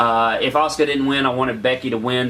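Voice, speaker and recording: Over noticeable background noise, a man at medium pitch speaks with ordinary pitch variation. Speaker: wrestling YouTuber. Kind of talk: casual video review. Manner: fast.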